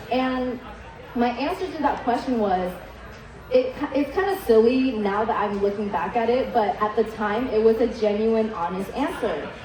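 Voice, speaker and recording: A woman with a Vietnamese accent speaks at a moderate pace in a fairly high voice with lively intonation, over noticeable background noise and audible room echo. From Vietnam, moved to US at eight. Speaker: chef. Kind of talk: keynote speech.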